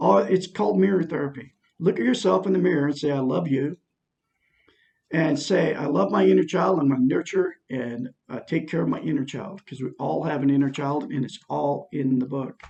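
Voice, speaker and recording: Vocal fry runs through this man's dark, mellow voice as he speaks at a moderate pace with a fairly high pitch and lively intonation. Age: 60s. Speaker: self-help vlogger. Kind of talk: personal testimony monologue. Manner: rambling, repetitive fillers.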